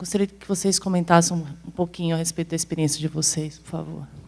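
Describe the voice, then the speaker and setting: A woman's fairly low, monotone voice with flat intonation, at a fairly quick pace and with big swings in loudness. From São Paulo, Brazil. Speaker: audience member asking a question. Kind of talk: audience question.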